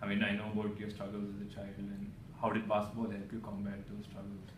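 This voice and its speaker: A man's fairly low voice at a very fast pace, with noticeable background noise. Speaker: sports interviewer. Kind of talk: interview. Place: office.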